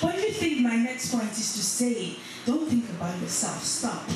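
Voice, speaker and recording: A woman's fairly high-pitched voice amid noticeable background noise and strong room echo. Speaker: church conference speaker. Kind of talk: spoken word piece delivered to a church congregation. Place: church.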